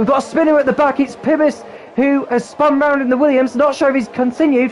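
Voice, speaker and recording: Over noticeable background noise, a man with an extremely high pitch talks at a very fast pace in an excited, energetic tone. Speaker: motorsport commentator. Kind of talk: motorsport race commentary. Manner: fast, excited, energetic race-call delivery.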